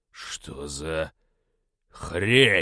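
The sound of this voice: In a put-on character voice, a man growls at an extremely low pitch, very slowly, with a bright, sharp tone and lively intonation. The recording is very clean, with a silent background.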